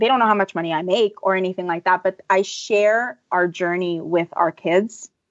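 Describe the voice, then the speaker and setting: This woman has an ordinary speaking voice. She talks at a moderate pace and medium pitch, with ordinary pitch variation. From Los Angeles. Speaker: personal finance blogger. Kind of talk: interview.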